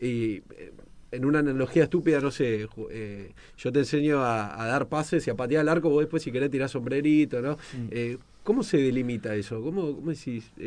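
A man in a normal speaking voice, fairly high in pitch, at a moderate pace with ordinary pitch variation. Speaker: radio co-host. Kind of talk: radio interview.

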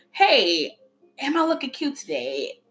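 A woman talks at a fairly slow pace over music in the background. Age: 20s. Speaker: podcast host, women's empowerment entrepreneur. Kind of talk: motivational monologue.

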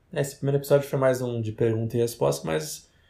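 Somewhat breathy, the man's voice has a dark, mellow tone. His pitch sits in the medium range and varies in an ordinary way. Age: 20s. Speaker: podcast co-host. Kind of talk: casual chat.

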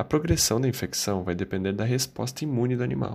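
A man speaks at a moderate pace in an ordinary speaking voice. The recording is very clean, with a silent background. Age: 20s. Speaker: veterinary student. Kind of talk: scripted narration.

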